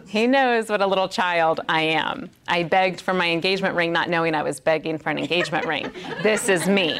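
Over noticeable background noise, a woman talks at a fairly quick pace in a fairly low pitch with ordinary pitch variation. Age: 40s. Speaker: women's Bible teacher. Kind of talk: sermon. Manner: animated.

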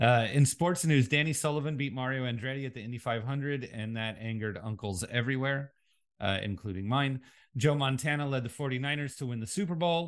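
A man's normal speaking voice at medium pitch with ordinary pitch variation. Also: fairly quick pace. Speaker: podcast co-host. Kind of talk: casual chat. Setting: remote from other host.

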